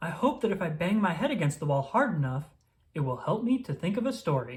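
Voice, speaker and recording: A man puts on a character voice, pitched high and swinging very widely up and down, delivered at a fairly quick pace. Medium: read story.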